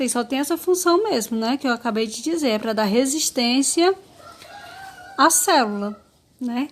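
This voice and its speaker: A high-pitched woman at a fairly slow pace over noticeable background noise. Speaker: biology teacher. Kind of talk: lecture. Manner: halting.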